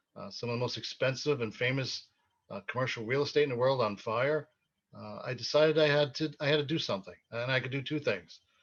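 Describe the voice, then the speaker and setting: A voice with a New York accent rushes along at a very fast pace with ordinary pitch variation. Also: man, medium pitch for a man. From Brooklyn, New York City. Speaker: mayoral candidate, retired police officer. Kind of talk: interview.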